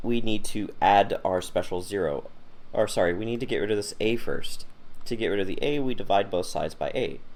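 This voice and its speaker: A man talks fairly quickly, his words carrying audible room echo. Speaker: math teacher. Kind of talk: lecture.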